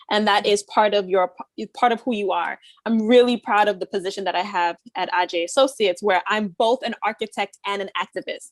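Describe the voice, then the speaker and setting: A woman talks at a fairly quick pace and medium pitch in an unremarkable speaking voice. Her intonation is fairly even, and the sound is dry and close with no echo. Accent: American. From US, Haitian family. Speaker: architect and activist. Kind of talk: panel discussion.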